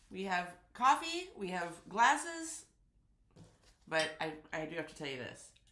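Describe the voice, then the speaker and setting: The voice moves at a fairly slow pace, with very wide pitch swings and a bright, sharp tone. Room echo is audible. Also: woman, long, frequent pauses, big swings in loudness. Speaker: quilting youtuber. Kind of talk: casual live stream chat. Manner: animated.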